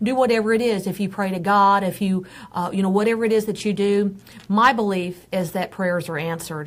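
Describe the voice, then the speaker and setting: In an American accent, a woman speaks at a moderate pace with a medium pitch and fairly even intonation. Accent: Texan accent, noticed by others. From Texas. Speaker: pet advocate and first responder. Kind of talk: live show discussion.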